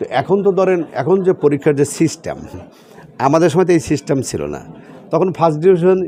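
High-pitched for a man, his voice keeps fairly even intonation over noticeable background noise. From Bangladesh, Sirajganj district (Shahzadpur). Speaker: politician. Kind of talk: political interview.

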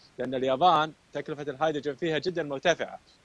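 Recorded dry with no echo, a man talks at a very fast pace with fairly even intonation. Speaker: guest. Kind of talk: interview answer. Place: street. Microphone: earbuds.

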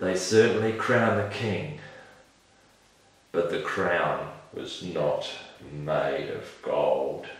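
Amid strong room echo, a man does a put-on character voice at a very slow pace, extremely low in pitch, with fairly even intonation.

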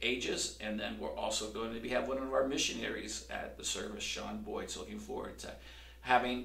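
There is audible room echo around the voice. A man speaks at a moderate pace. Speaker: pastor. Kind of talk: church announcements to camera. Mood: warm, cheerful. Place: church.

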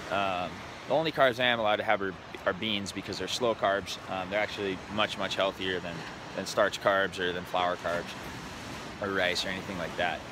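A man with a fairly low voice talks at a fairly quick pace. The sound is dry with no echo, though background noise is noticeable. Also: ordinary pitch variation. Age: 30s. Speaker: entrepreneur vlogger. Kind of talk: casual vlog monologue. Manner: casual, hesitant with fillers. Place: beach. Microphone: phone near.

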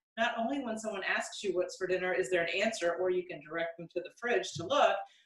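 A woman's voice with audible room echo and music in the background. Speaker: home cook host. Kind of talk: tutorial. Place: kitchen. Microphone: camera far.

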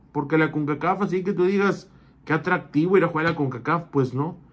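A man talks at a moderate pace. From Mexico. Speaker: football commentator. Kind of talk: opinion monologue. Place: home room. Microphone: phone near.

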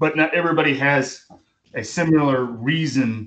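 Pitch varies ordinarily as a man talks at a moderate pace. Behind him, things stay quiet. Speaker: college English instructor. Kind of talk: lecture. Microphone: video call.

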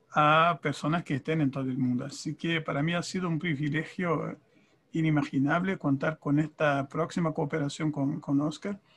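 Fairly even intonation in a man's voice pitched fairly high. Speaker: conference interpreter and author. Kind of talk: panel discussion. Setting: video call. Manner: halting, repeats words. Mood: warm, grateful. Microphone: video call.

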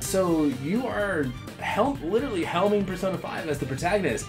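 Clear music plays in the background as a man with a high pitch speaks at a moderate pace. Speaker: interview host. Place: office. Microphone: lapel.

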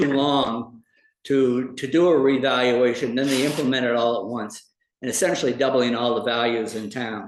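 With audible room echo, a man speaks at a moderate pace in a medium pitch. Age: 70s. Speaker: property assessor. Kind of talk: public presentation at town meeting. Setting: town board meeting. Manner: halting, many fillers.

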